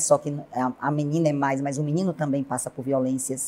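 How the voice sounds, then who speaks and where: A woman's dark, mellow tone. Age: 60s. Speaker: city councillor and teacher. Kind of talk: TV interview. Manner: formal.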